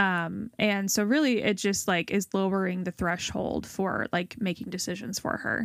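With an ordinary speaking voice at medium pitch, a woman talks at a moderate pace with fairly even intonation and hardly any pauses, in a very clean recording over a silent background that sounds dry and close with no echo. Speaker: podcast host. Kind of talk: casual chat.

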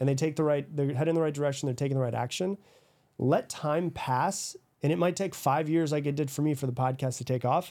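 Very fast and very even in loudness, the voice has a dark, mellow tone in a very clean recording with a silent background. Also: man, fairly high pitch for a man, ordinary pitch variation. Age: 30s. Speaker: podcast host and author. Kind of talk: interview conversation. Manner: casual, filler-heavy.

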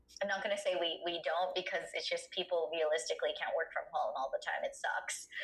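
Loudness stays very even and pauses are hardly heard, with noticeable background noise behind the voice. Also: woman. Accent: American. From US, Filipino family. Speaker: leadership and negotiation coach. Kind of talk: casual interview.

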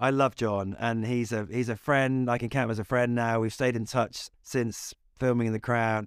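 A man with a West Midlands accent speaks at a moderate pace in a monotone, flat tone. The recording is very clean and silent in the background, with a dry, close sound and no echo. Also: medium pitch for a man. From West Midlands, England. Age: 40s. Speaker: film and TV director. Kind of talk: interview.

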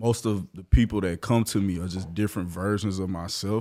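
In a very clean recording with a silent background, a man with a normal speaking voice talks at a fairly quick pace with ordinary pitch variation. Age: 20s. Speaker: barber. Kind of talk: casual interview chat.

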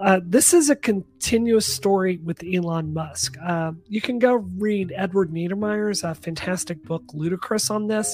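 Lively intonation from a somewhat breathy woman of medium pitch, at a fairly slow pace with hardly any pauses. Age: 40s. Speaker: tech commentator and former congressional candidate. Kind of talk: casual chat.

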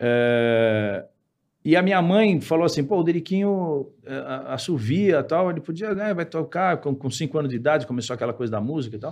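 A man with an unremarkable speaking voice talks at a fairly high pitch and a moderate pace, with lively intonation. The background is quiet. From São Paulo, Brazil. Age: 50s. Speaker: musician. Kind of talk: casual interview chat.

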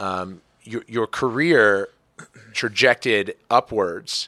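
In a very clean recording with a silent background, a man with an American accent speaks at a fairly low pitch in a bright, sharp tone, the sound dry and close with no echo. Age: 30s. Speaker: podcast host and pro athlete. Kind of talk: interview; scripted intro and ad read. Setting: backstage at an arena.

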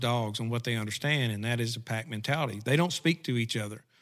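The speaker has an Arkansas accent and talks at a fairly quick pace. The pitch varies in an ordinary way. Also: man. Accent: Southern US (Arkansas). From Southeast Arkansas. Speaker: retriever dog trainer. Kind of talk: casual interview.

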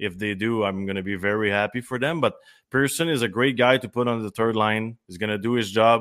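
Speaking with a Quebec accent, a man talks at a fairly quick pace in a medium pitch. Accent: Québécois French. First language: French. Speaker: former hockey player. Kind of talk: casual sports talk.

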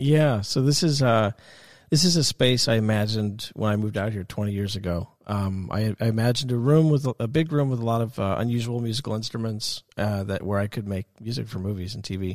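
A man speaks at a fairly quick pace with an American accent, using an ordinary speaking voice at medium pitch with ordinary pitch variation, on a very clean recording with a silent background. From US Northeast, Westchester County, New York. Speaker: film and TV composer. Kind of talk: interview in his studio. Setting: recording studio.

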